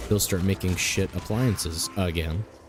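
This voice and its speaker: Music plays behind a man with a very deep, low pitch. He keeps a moderate pace and ordinary pitch variation. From Canada. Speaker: gaming streamer. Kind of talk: casual gameplay commentary. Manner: casual, rambling with fillers.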